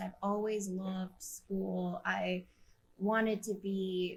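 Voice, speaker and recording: A woman speaks with a Midwestern US accent. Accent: US Midwest. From Kansas City area (Wyandotte County, Kansas). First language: Spanish. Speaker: environmental justice activist. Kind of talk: podcast interview.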